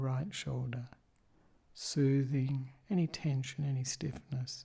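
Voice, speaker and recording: A calm, somewhat breathy voice with a dark, mellow tone and fairly even intonation, on a very clean recording with a silent background. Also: man. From Australia. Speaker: Buddhist monk and meditation teacher. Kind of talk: guided meditation instruction. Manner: slow, calm, soft-spoken, with long pauses.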